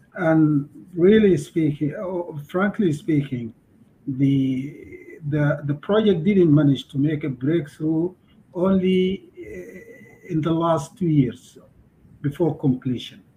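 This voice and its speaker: A man's dark, mellow voice at a very slow pace, with long, frequent pauses and light background noise. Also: ordinary pitch variation. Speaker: country program officer. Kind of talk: work meeting. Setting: video call. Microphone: video call.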